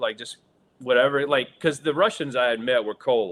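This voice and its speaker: With a Southern US accent, a man speaks at a fairly quick pace and a fairly high pitch for a man. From US South. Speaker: actor. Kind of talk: interview storytelling. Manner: hesitant, many fillers.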